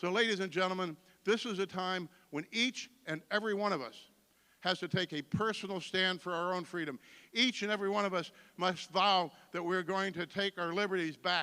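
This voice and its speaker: A man with an American accent projects a raised, high-pitched voice at a fairly quick pace. The tone is bright and sharp, in a very clean recording with a silent background. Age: 60s. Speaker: political candidate. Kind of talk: campaign speech. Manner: animated.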